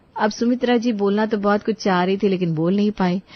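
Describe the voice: A woman at a medium pitch, talking at a fairly quick pace with fairly even intonation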